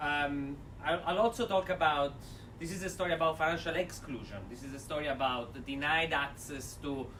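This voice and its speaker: Strong Italian accent from a man with a fairly high pitch at a moderate pace, with audible room echo and noticeable background noise. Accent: thick Italian. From Italy. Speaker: development finance speaker. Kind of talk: seminar talk. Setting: lecture room with audience, speaking without mic. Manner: energetic. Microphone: no microphone, may be hard to hear.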